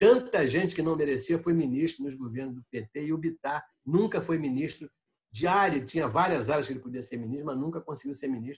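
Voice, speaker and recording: A very fast, somewhat breathy man's voice, fairly high in pitch, with ordinary pitch variation and big swings in loudness. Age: 70s. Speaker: city councillor and former federal deputy. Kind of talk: interview.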